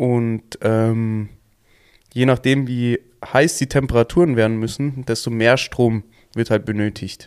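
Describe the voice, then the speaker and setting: A man at medium pitch talks at a very slow pace, with long, frequent pauses and fairly even intonation. The recording is very clean, with a silent background. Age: 20s. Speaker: plumbing and heating technician. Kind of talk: casual chat.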